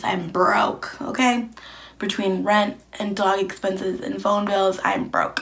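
In a put-on character voice, a raspy woman talks at a fairly slow pace with a medium pitch. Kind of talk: casual vlog chat. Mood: frustrated about money.

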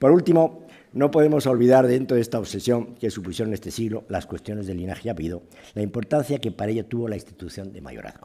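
A man's voice with lively intonation, big swings in loudness and a very fast pace. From Spain. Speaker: historian giving a lecture. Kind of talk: lecture. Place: hall. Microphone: podium.

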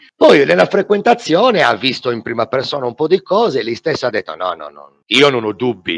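A man's voice with vocal fry, very wide pitch swings and a moderate pace. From Sardinia. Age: 40s. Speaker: fitness instructor. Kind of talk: testimony. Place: home room. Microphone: headset.

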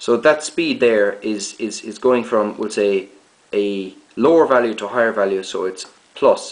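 Against audible room echo, a man with fairly low pitch talks at a fairly slow pace with ordinary pitch variation.

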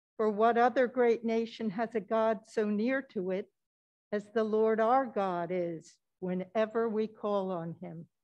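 Over a quiet background, a woman with a plain, everyday voice and fairly high pitch speaks at a fairly slow pace with fairly even intonation. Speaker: lay reader. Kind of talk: scripture reading. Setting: church. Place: church.

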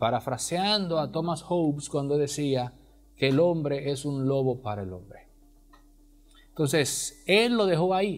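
A man with a fairly high pitch and lively intonation at a fairly slow pace. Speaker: radio host. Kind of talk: casual chat. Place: studio. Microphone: lapel.

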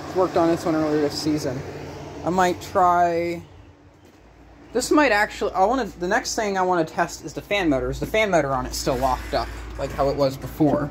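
The speaker moves at a fairly quick pace. Music plays in the background. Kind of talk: casual vlog chat. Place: garage. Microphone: phone near.

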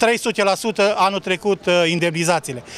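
A man speaks in a high voice with fairly even intonation. The sound is dry with no echo, with light background noise. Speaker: union leader. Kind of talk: angry protest speech. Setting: outdoors, street protest. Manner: indignant, forceful. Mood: aggrieved, indignant. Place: street. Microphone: handheld.

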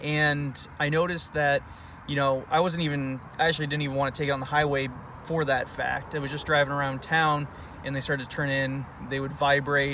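Over light background noise, a man talks at a fairly quick pace in a monotone, flat intonation, and the sound is dry with no echo. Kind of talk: casual product review vlog. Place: car. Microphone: phone near.

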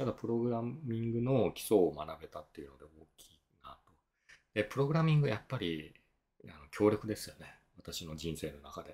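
Very wide pitch swings in a somewhat breathy male voice. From Japan, Miyazaki; Japan. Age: 50s. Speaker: tax accountant and efficiency consultant; blogger. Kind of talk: solo video talk; explanatory talk, casual lecture. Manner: casual, filler-heavy. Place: home room.

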